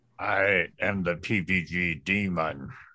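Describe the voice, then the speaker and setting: Over a quiet background, a man performs a put-on character voice with a very deep, low pitch. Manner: muffled, lips not moving, ventriloquist-style.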